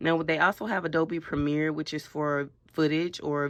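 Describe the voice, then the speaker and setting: Against a quiet background, a woman with a very deep, low pitch speaks at a moderate pace with fairly even intonation. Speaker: college student radio intern vlogger. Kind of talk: tutorial. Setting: radio studio booth. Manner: loud.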